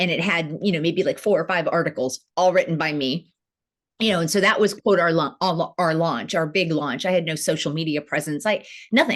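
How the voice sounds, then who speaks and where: A woman with a normal speaking voice talks at a fairly quick pace, her pitch fairly low and its variation ordinary, in a very clean recording with a silent background. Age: 50s. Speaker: entrepreneur, founder of women's online platform. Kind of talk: interview conversation.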